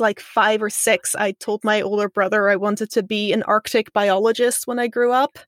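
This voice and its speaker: With a Dutch accent, a woman speaks at a fairly high pitch and fairly even intonation, in a dry, close sound with no echo. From Netherlands, Amsterdam, then abroad (Israel, Kenya). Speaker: science communicator. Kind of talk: casual interview chat.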